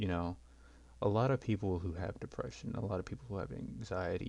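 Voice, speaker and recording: With vocal fry, a man speaks in a very deep, low pitch and a dark, mellow tone. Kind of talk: unscripted personal talk about mental health. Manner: hesitant, stuttering.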